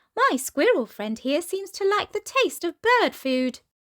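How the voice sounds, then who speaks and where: A woman's squeaky put-on character voice, extremely high, with very wide pitch swings and a moderate pace. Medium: read story.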